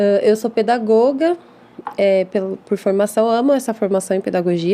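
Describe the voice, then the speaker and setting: A woman's medium-pitched voice at a fairly quick pace, with ordinary pitch variation and noticeable background noise. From Brazil, São Paulo city (East Zone). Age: 30s. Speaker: English teacher and school founder. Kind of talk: podcast interview.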